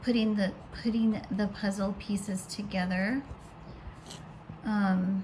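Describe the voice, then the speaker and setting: Over noticeable background noise, a woman with a medium-pitched voice speaks at a very slow pace in a monotone, flat intonation, with long, frequent pauses. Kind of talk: casual monologue to camera. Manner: loud.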